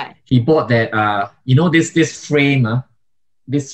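Over a quiet background, a man's somewhat breathy voice moves at a moderate pace with ordinary pitch variation. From Singapore. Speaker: YouTuber and migration vlogger; podcast co-host. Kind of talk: casual chat. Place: home room. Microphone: studio mic.

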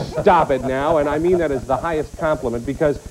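A man talks at a very fast pace. Light background noise runs underneath. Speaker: TV talk show host. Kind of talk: TV talk show interview. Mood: warm, admiring. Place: studio.

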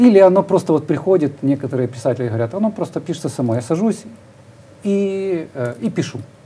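Pitch swings very widely in this dark, mellow voice, which moves at a fairly quick pace but breaks often into long pauses. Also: man. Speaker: TV interviewer host. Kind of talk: studio interview. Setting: studio. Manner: formal, polite. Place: studio. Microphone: lapel.

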